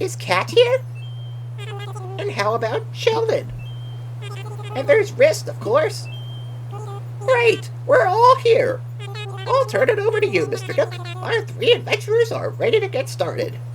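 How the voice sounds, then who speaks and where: A put-on character voice at a fairly slow pace, with long, frequent pauses over loud background noise. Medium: game stream. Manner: upbeat, polite.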